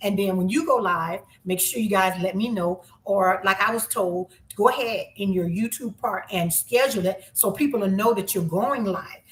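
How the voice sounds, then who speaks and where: There is noticeable background noise as a woman speaks at medium pitch. Her pace is moderate and her pitch variation ordinary. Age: 50s. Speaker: YouTuber. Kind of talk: live stream chat. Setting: livestream.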